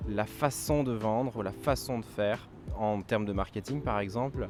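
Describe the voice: With music in the background, a man speaks at a moderate pace in a fairly low voice with ordinary pitch variation.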